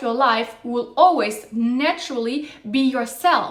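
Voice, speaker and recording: A woman's animated tone amid noticeable background noise. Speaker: dating advice youtuber. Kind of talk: monologue to camera.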